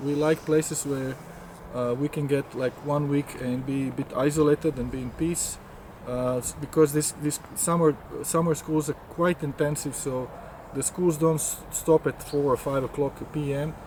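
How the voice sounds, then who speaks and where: At a moderate pace, a man with a Croatian accent speaks at a fairly high pitch with fairly even intonation amid noticeable background noise. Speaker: scientist and course organizer. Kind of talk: interview. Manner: halting.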